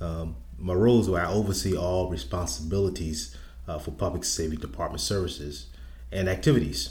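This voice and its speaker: The intonation is lively, in an American accent. Room echo is audible. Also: man, very deep, low pitch for a man, fairly quick pace. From South Carolina Lowcountry, Charleston. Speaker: public safety director. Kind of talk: interview. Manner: halting, many fillers.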